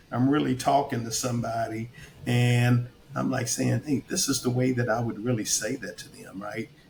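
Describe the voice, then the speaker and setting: A man with an American accent at medium pitch, moderate in pace and fairly even in intonation, against noticeable background noise. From Kentucky. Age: 60s. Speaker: retired army officer turned actor. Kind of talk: casual chat.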